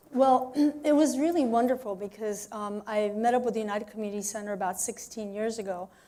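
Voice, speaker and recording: Moving at a fairly quick pace, a woman with a Spanish accent speaks at a fairly high pitch with fairly even intonation. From Mexico. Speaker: arts program director, violin teacher. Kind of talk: interview. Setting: radio studio. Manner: hesitant, many fillers.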